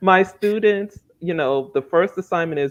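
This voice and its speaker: Her pitch varies in an ordinary way as the woman speaks at a moderate pace. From child of immigrants, raised in the US. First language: not English. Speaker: author and teacher. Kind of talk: interview. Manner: conversational, many filler words.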